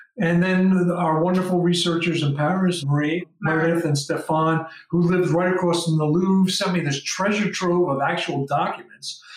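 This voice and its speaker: A man's high-pitched, monotone voice with flat intonation and hardly any pauses, over noticeable background noise. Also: moderate pace. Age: 60s. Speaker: documentary filmmaker. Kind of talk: casual chat. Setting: video call.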